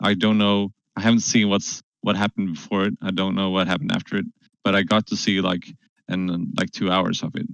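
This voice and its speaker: A man with a Swedish accent talks at a fairly quick pace. His pitch is fairly low, and his intonation is monotone and flat. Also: dry, close sound with no echo. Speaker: gaming discussion panelist. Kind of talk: casual chat. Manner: halting.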